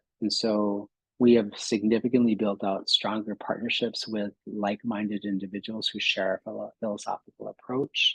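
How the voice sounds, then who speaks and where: A man's fairly low, monotone, flat voice at a moderate pace with hardly any pauses, in a dry, close sound with no echo. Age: 60s. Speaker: clinic executive and psychologist. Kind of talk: presentation. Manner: halting, many fillers.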